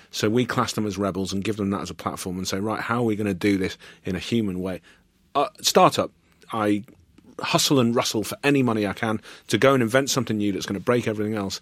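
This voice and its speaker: On a very clean recording with a silent background, a man with a fairly low pitch talks at a very fast pace. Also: ordinary pitch variation. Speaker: podcast host. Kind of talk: interview chat. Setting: studio.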